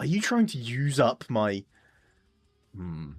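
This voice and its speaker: Music plays behind a man with an English accent. He speaks at a medium pitch in an animated tone. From England. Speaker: streamer. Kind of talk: live gaming stream commentary. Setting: live stream.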